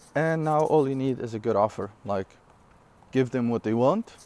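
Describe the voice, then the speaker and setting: The tone is dark and mellow. The speaker has a non-native accent. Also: man. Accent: non-native English, noticeable. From Syria. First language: not English (English is third language). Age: 20s. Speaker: online entrepreneur. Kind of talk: casual vlog talk. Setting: outdoors. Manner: casual, with fillers and self-corrections.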